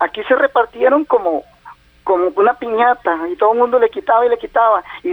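A man's extremely high-pitched voice with very wide pitch swings at a moderate pace, dry and close with no echo, over noticeable background noise. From Costa Rica, southern Pacific region. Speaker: caller, caregiver of his mother. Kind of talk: phone-in call.

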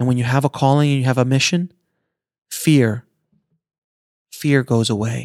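At a fairly slow pace, a man talks at a medium pitch with fairly even intonation. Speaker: podcast host. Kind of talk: pep talk. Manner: earnest, motivational, urgent; emphatic, driving, inspirational.

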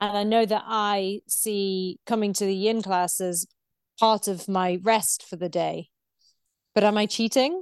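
A woman's medium-pitched, plain, everyday voice, fairly slow with fairly even intonation, dry and close with no echo against a quiet background. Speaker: podcast interviewer and coach. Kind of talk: casual interview.

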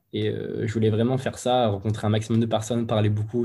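Fairly low and somewhat breathy, a man's voice has a dark, mellow tone. He talks at a fairly quick pace with monotone, flat intonation. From central France, Moulins (Allier). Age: 20s. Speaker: cellist. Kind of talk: casual interview.

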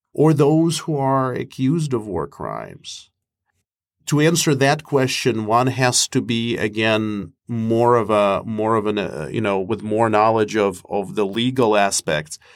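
Lively intonation comes at a fairly slow pace in a Russian accent, on a very clean recording, silent background. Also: man, medium pitch for a man. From Moscow, Russia. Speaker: professor and mediator. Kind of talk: interview answers on conflict negotiation.

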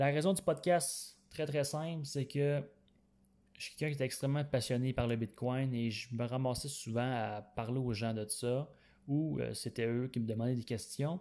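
On a very clean recording with a silent background, the speaker uses a Quebec accent, a dark, mellow tone, ordinary pitch variation and a moderate pace. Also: man, medium pitch for a man. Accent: Québécois French. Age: 20s. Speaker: podcast host. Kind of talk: solo podcast monologue. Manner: halting, frequent fillers.

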